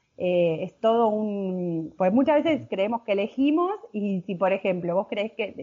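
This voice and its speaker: With a Rioplatense accent, a woman speaks at a moderate pace and medium pitch, her intonation lively. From Buenos Aires province, Argentina. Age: 30s. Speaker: cooking instructor. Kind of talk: interview.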